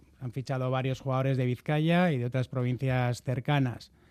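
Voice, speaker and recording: On a very clean recording with a silent background, a man of medium pitch speaks at a fairly quick pace with fairly even intonation. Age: 40s. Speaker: football club presidential candidate. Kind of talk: radio interview. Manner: halting.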